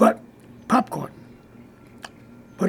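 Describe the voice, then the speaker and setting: A man's voice over noticeable background noise. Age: 80s+. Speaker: racing pigeon fancier, former bull rider. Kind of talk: interview answer. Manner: terse.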